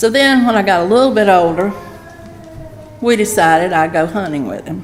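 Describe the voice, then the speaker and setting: A woman in a Southern US accent with lively intonation at a moderate pace, with audible room echo and music in the background. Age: 70s. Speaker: pastor's wife. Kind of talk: testimony. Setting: church.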